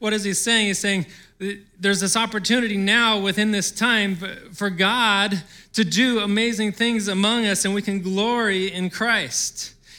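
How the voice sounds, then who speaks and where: A man's raised, projected voice, high-pitched with a bright, sharp tone and fairly even intonation, on a very clean recording with a silent background. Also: moderate pace. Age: 40s. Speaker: pastor. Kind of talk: sermon.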